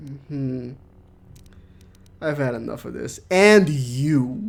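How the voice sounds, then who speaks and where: Audible room echo surrounds a man speaking at a very slow pace. His pitch is fairly high and his intonation lively. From Netherlands. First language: not English. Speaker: gaming streamer. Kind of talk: live gameplay commentary. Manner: animated.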